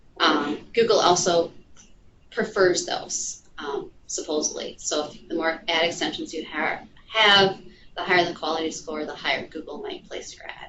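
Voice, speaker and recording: A woman talks at a moderate pace in a normal speaking voice, her pitch fairly low. Her intonation stays fairly even while her loudness swings widely. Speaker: digital marketing specialist. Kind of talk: lecture. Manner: many filler ums.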